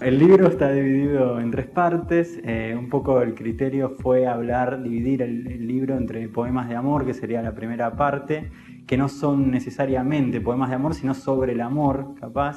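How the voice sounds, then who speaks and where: With music in the background, a man of medium pitch speaks at a moderate pace with fairly even intonation and hardly any pauses. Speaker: poet and writer. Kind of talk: interview answer.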